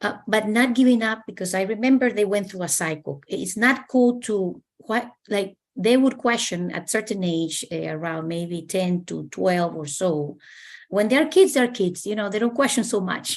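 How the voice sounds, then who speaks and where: Against a quiet background, a woman talks at a moderate pace. She has a Spanish accent and lively intonation. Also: medium pitch for a woman. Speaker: university staff panelist. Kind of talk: panel discussion. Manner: halting.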